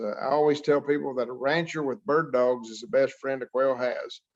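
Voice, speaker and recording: Against a quiet background, a man with an American accent speaks at a moderate pace. His pitch is medium with ordinary variation. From Oklahoma (southwest, Hollis). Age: 60s. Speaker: wildlife scientist, quail expert. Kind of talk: interview.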